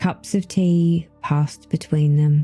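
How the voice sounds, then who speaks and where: Over music in the background, a soft-spoken woman talks very slowly in a calm tone at a fairly low pitch. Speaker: cross stitch YouTuber and storyteller. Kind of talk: soft-spoken bedtime storytelling narration. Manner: soft-spoken, calm, slow.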